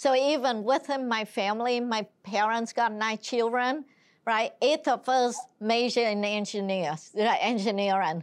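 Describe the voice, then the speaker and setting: A speaker with a Vietnamese accent talks at a fairly slow pace with ordinary pitch variation. The background is quiet. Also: woman, fairly high pitch for a woman. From Vietnam (Saigon). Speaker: senior navy civilian executive. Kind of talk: interview.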